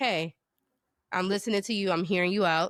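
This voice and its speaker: A woman with a normal speaking voice at medium pitch and ordinary pitch variation, at a moderate pace, in a dry, close sound with no echo on a very clean recording with a silent background. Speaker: podcast co-host. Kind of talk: casual chat.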